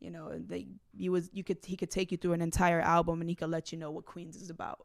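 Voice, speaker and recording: Her speech races along at a very fast pace, with ordinary pitch variation and vocal fry. The woman's loudness swings widely. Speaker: artist. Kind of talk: casual chat. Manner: halting.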